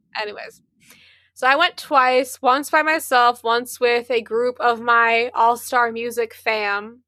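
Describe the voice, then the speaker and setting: A woman's high-pitched voice, bright and sharp in tone with ordinary pitch variation, sounds dry and close with no echo. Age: 20s. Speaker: podcast co-host. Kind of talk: casual chat. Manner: animated.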